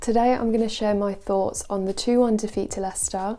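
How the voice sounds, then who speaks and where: A soft-spoken woman with a dark, mellow tone speaks in a flat monotone. The recording is very clean with a silent background. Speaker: football vlogger. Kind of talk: casual video commentary.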